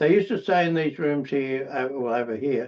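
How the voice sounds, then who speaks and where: Against a quiet background, a man with an Australian accent talks at a moderate pace and a medium pitch. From Australia, Queensland–New South Wales border. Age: 80s+. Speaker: recovering alcoholic speaker. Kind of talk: testimony. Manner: halting, many repetitions and fillers.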